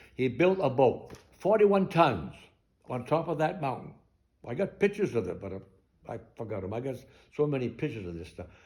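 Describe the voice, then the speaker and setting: The man's pitch is fairly high, his tone dark and mellow, with vocal fry. He keeps a moderate pace. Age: 80s+. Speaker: war veteran. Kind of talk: local history talk to an audience.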